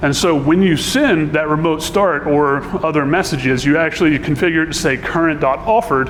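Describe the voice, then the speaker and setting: There is noticeable background noise and audible room echo as a man with a fairly high pitch and ordinary pitch variation speaks fairly quickly. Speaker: conference speaker, software engineer. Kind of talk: conference talk. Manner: fast.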